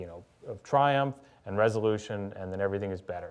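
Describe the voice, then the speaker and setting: A man's fairly low voice at a fairly quick pace, with noticeable background noise. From US South, Louisiana and Birmingham, Alabama. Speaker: author. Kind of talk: public conversation.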